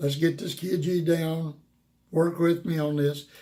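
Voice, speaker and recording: This man's voice has a dark, mellow tone. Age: old. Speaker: guitar teacher. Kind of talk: tutorial. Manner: casual, folksy.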